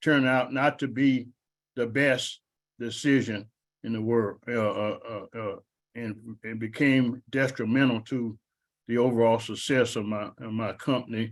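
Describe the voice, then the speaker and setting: A man speaks at a fairly slow pace in a medium pitch, his intonation monotone and flat. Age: 70s. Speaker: business owner. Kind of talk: panel discussion. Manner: halting, many repetitions.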